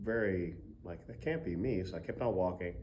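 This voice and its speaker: In an American accent, a somewhat breathy voice with a dark, mellow tone carries audible room echo. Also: man. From Baltimore, Maryland. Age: 40s. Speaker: music professor. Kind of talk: testimony. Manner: halting, many fillers.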